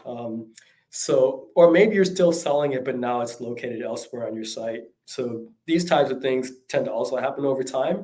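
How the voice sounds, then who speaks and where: Audible room echo fills the space. A man's voice is heard within it. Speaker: e-commerce consultant. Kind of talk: talk. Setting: livestream. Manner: halting, many fillers.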